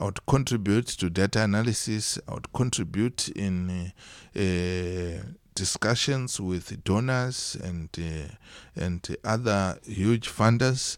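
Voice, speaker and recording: Speaking at a very slow pace, a man with a fairly low pitch and ordinary pitch variation is heard in a very clean recording with a silent background. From Zimbabwe, Mutoko district. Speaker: monitoring and evaluation specialist. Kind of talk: interview. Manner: hesitant, many fillers.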